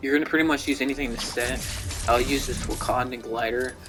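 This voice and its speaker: Flat, monotone delivery from a man at medium pitch, with music in the background. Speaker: gaming YouTuber. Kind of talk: casual gaming commentary over gameplay. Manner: casual, hesitant with fillers.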